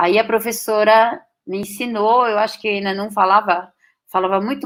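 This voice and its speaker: Fairly high-pitched female voice with a German accent. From Brazil, German-speaking family. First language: German (speaking Portuguese). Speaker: professor. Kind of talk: interview testimony. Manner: halting.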